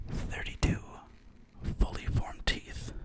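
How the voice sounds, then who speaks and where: A man's very slow whispering over noticeable background noise. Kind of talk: horror story narration. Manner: whispered, soft-spoken.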